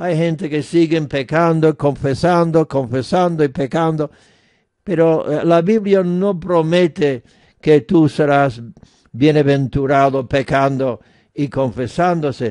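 Very slowly, a man talks at a fairly high pitch in a dark, mellow tone with ordinary pitch variation. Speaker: radio preacher. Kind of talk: sermon. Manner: earnest, persuasive preaching.

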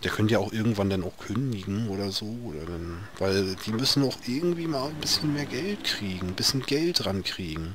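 Amid noticeable background noise and audible room echo, a man talks at a moderate pace with hardly any pauses, his fairly low pitch making very wide swings. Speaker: gaming video creator. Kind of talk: let's play commentary. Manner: halting, repeats words.

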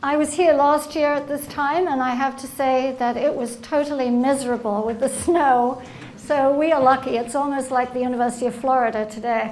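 A woman at a fairly quick pace, with fairly even intonation and light background noise. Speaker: invited lecturer. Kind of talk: lecture. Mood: light humorous opening. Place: hall. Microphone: podium.

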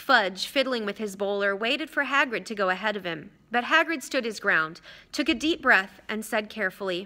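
The intonation has a lively quality. What we hear is plain reading aloud.

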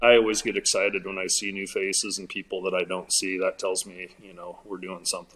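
A man's fairly low voice with an American accent, fairly quick and with hardly any pauses, flat and monotone in intonation, with big swings in loudness. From southwest Iowa. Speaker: artist and event organizer; guest. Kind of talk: casual interview chat. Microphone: video call.

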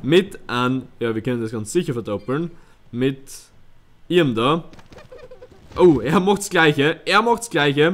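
A man talks at a moderate pace. His fairly high voice makes very wide pitch swings. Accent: Styrian. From Styria, Austria. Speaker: let's player. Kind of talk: live gameplay commentary. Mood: relaxed, playful.

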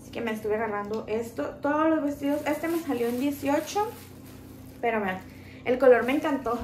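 Against light background noise and audible room echo, a woman with a high pitch talks at a moderate pace, with ordinary pitch variation and big swings in loudness. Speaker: haul vlogger. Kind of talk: casual vlog chat. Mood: cheerful, chatty. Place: home room. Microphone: phone near.

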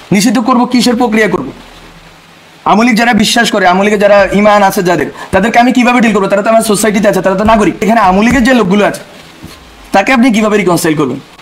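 Noticeable background noise accompanies a man whose high-pitched voice shows ordinary pitch variation. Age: young. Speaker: youth political speaker. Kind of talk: impassioned political speech. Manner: animated.

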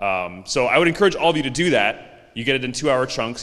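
Talking at a very fast pace, a man uses lively intonation. The background is quiet. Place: meeting room. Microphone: handheld.

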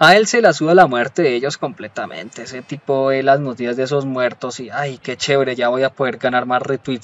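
At a fairly quick pace, the delivery shows ordinary pitch variation. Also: man. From Colombia. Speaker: YouTuber. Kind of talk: commentary video monologue. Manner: animated.

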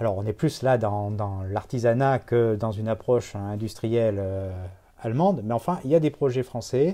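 Speaking at a moderate pace, a man with a dark, mellow tone uses a medium pitch with ordinary pitch variation. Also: quiet background. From France, Bordeaux; France. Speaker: watch collector; guest. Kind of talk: casual interview. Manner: halting, many repetitions and hesitations. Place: home room.

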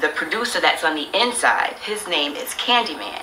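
Lively intonation at a moderate pace, with audible room echo and light background noise. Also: woman. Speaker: recording artist. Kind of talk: casual storytelling. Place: office.

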